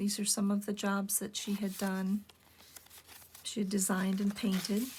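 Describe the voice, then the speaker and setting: Somewhat breathy, a woman speaks at medium pitch with monotone, flat intonation. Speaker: junk journal maker. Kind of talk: casual craft show-and-tell narration. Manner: low-energy; hesitant, many filler words.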